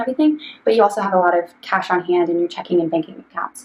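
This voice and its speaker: Over noticeable background noise, a woman at medium pitch talks very fast with ordinary pitch variation. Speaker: financial planner. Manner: hesitant, many ums.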